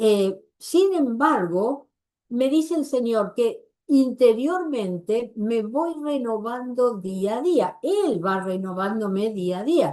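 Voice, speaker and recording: Speaking at a very slow pace, a woman uses a fairly high pitch that swings very widely, her tone dark and mellow. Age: 80s+. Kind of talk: religious workshop talk.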